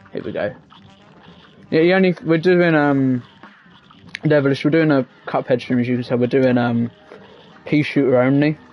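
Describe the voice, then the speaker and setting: Over noticeable background noise, a man talks at a moderate pace and a fairly high pitch, with ordinary pitch variation and long, frequent pauses. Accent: British. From England. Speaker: gaming streamer. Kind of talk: live gaming stream chat. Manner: casual, hesitant with fillers.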